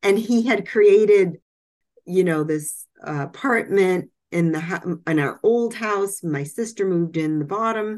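A woman in an ordinary speaking voice, medium in pitch with ordinary variation, speaks at a fairly slow pace against a quiet background. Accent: American. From Massachusetts. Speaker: author and medical writer. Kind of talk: interview.

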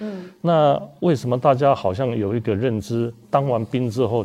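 A man speaks at a medium pitch with a dark, mellow tone. His pace is moderate. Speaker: hepatologist, hospital department head. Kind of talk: expert explanation in panel talk.

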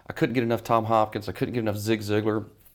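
A man of medium pitch speaks with a Southern US accent. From US South, Mississippi. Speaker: business coach. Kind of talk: interview.

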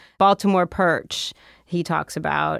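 A woman with a normal speaking voice at a fairly low pitch talks fairly slowly in a very clean, dry, close recording with no echo and a silent background. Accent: American. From Philadelphia area, US. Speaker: food historian and author. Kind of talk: interview.

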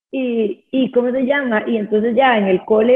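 Her pitch varies in an ordinary way. The speaker is a woman. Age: 30s. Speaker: dance teacher. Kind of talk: casual chat. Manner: animated.

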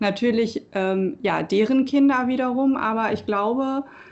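A woman with a plain, everyday voice, fairly high in pitch, at a fairly slow pace with ordinary pitch variation. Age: 20s. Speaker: local election candidate. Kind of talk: casual chat.

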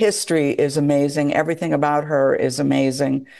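A woman's moderate pace is heard against a quiet background. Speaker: documentary filmmaker. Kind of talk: interview.

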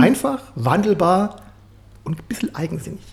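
A man whose pitch swings up and down very widely. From Swabia, Germany. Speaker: podcast host. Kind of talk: casual interview chat.

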